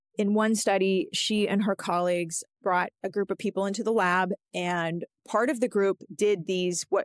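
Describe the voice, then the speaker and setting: A woman with a plain, everyday voice, medium pitch, ordinary pitch variation and moderate pace, in a very clean, dry, close recording with a silent background and no echo. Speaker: podcast host. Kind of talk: solo podcast talk.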